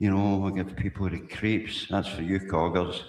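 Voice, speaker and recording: Here is a man speaking with a Glaswegian accent. His voice sits fairly low. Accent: Glaswegian Scots. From Scotland, Glasgow. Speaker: livestreamer. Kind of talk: casual live stream monologue. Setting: live stream. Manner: rambling, repetitive.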